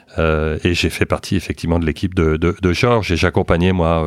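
This man's pitch is very deep and low. He talks at a moderate pace with fairly even intonation. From France. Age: 50s. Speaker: entrepreneur, former banker. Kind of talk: interview.

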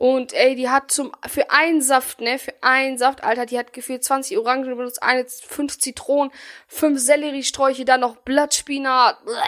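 At a moderate pace, a woman speaks in a high pitch with monotone, flat intonation. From Bielefeld, Germany. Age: 20s. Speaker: podcast host. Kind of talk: casual chat.

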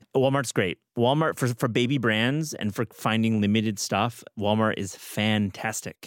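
A man with a Midwestern accent, medium pitch and ordinary pitch variation, at a fairly slow pace with hardly any pauses, in a very clean, dry, close recording with a silent background and no echo. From US Midwest, Michigan. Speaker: podcast host. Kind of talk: casual chat.

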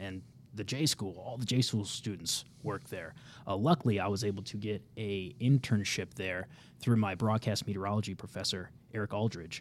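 A man with a Midwestern American accent, fairly low pitch, ordinary pitch variation and a moderate pace. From Kansas City, Missouri. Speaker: TV meteorologist. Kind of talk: casual interview. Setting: studio.

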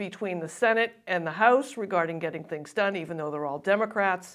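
A woman's ordinary speaking voice, medium in pitch, with ordinary pitch variation and a fairly quick pace. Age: 60s. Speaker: political analyst and co-host. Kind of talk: casual political discussion.

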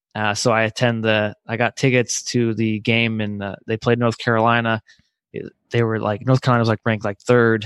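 In an American accent, a man speaks fairly quickly at a medium pitch with monotone, flat intonation and a dry, close sound with no echo. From northwest Indiana (Crown Point, Chicago area). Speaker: college basketball writer. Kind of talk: casual chat.

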